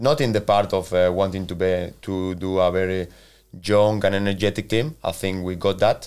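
On a very clean recording with a silent background, a man with a Spanish accent speaks at a moderate pace in a very deep, low voice with ordinary pitch variation. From Spain, Valencia. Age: 40s. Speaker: football manager. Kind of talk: interview. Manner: halting.

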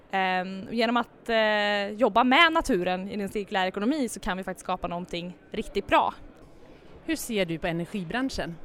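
A woman uses an ordinary speaking voice, pitched at a medium level for her and moving at a moderate pace. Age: 20s. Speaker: startup founder. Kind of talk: interview.

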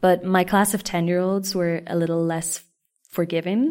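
A woman with an Irish accent, fairly low in pitch, at a fairly quick pace with fairly even intonation, on a very clean recording with a silent background. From Ireland. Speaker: podcast host and teacher. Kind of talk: solo podcast monologue. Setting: classroom, recorded indoors. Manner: casual, chatty.

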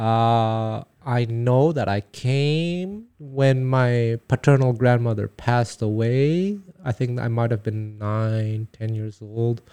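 A man's medium-pitched voice, dark and mellow, at a very slow pace with ordinary pitch variation. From Quebec, Canada. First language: Taiwanese. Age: 40s. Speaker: jazz guitarist and teacher. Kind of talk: casual conversational interview. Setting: studio. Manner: swallows syllables.

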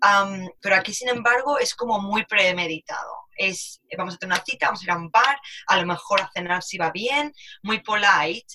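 With an unremarkable speaking voice, a woman talks at a moderate pace in a medium pitch with ordinary pitch variation. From Spain, Alicante. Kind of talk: casual chat.

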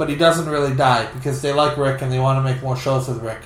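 A man talks with monotone, flat intonation. Audible room echo and noticeable background noise surround his words. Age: 40s. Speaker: podcast co-host. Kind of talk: casual chat.

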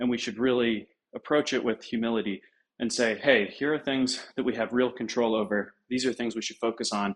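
At a fairly quick pace, a man in an unremarkable speaking voice talks at medium pitch with fairly even intonation. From United States (moved from UK as small child). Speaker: essay writer and web3 entrepreneur. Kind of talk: podcast interview discussion.

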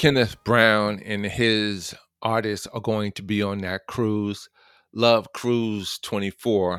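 Over music in the background, a man with a New York accent speaks at a very slow pace in a fairly low, monotone, flat voice, the sound dry and close with no echo. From New York City (Queens). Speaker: radio host. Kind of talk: inspirational radio talk.

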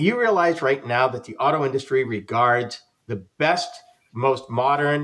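A man speaks in an unremarkable speaking voice. His pitch is medium and his pace moderate. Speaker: podcast host and radio presenter. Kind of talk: casual panel discussion. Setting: live streamed group video chat.

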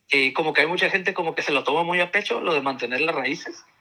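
A man with a fairly high pitch and a bright, sharp tone talks at a fairly quick pace with ordinary pitch variation on a very clean recording with a silent background. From Tijuana, Mexico. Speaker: university lecturer. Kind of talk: casual chat.

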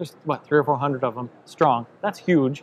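In a plain, everyday voice, a man speaks at a medium pitch and a moderate pace. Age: 40s. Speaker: podcast host. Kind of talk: interview at a conference. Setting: expo event.

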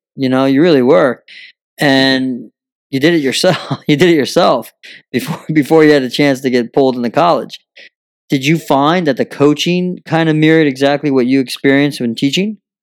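A man talks at a fairly quick pace with a fairly high pitch and ordinary pitch variation. It is a plain, everyday voice. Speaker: podcast host. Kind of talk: casual interview. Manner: jokey.

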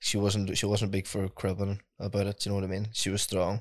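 Speaking at a fairly quick pace with a Donegal accent, a man comes through on a very clean recording with a silent background. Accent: Donegal Irish. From Ireland, southwest County Donegal. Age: 20s. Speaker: singer-songwriter. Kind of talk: casual interview chat.

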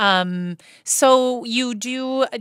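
A woman's bright, sharp tone with ordinary pitch variation, dry and close with no echo, on a very clean recording with a silent background. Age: 40s. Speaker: podcast co-host. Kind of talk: show intro and outro announcements; casual podcast chat. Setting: podcast studio.

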